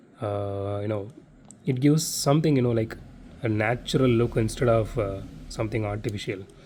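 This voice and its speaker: In a Tamil accent, a speaker with a dark, mellow tone talks at a fairly quick pace with ordinary pitch variation. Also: man, medium pitch for a man. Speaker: diecast collector YouTuber. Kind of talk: unboxing review. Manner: casual, many fillers.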